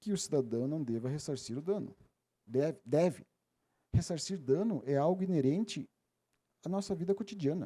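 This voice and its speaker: Speaking at a moderate pace with long, frequent pauses, a man with a southern Brazilian accent has a dark, mellow tone and fairly high pitch. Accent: gaúcho (southern Brazilian). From Rio Grande do Sul, Missões region, southern Brazil. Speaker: legal expert, seminar speaker. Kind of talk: lecture. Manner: halting, with fillers and self-corrections.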